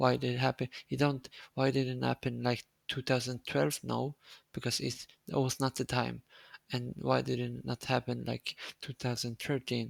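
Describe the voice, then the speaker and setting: A man with a non-native accent speaks at a moderate pace. The sound is dry and close, with no echo. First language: Swedish. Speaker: streamer. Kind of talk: casual chat. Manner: halting.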